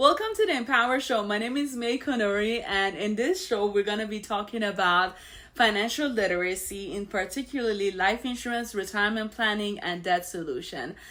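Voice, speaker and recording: Talking at a fairly quick pace with hardly any pauses, a woman has a fairly high pitch and a bright, sharp tone. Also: ordinary pitch variation. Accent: Iranian. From Iran. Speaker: financial show host. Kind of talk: personal story monologue. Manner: casual, conversational with fillers.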